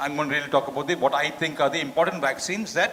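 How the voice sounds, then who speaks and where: A man talks with normal rises and falls in pitch while clear background noise carries on behind him. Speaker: doctor. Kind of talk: lecture. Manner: fast.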